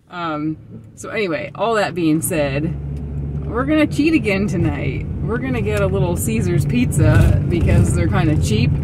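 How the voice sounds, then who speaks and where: Loud noise fills the background as a woman talks. There is no echo, and the sound is dry. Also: moderate pace. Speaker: van life vlogger. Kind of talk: casual vlog chat. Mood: cheerful, relaxed. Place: car. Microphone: phone near.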